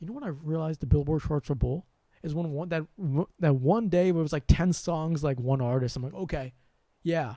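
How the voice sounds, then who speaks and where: In a very clean recording with a silent background, a soft-spoken man with an American accent speaks in a fairly high pitch with a dark, mellow tone. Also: ordinary pitch variation, fairly quick pace, big swings in loudness. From US, Sri Lankan family. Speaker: spiritual channel host. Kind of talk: livestream monologue. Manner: soft with sudden loud bursts.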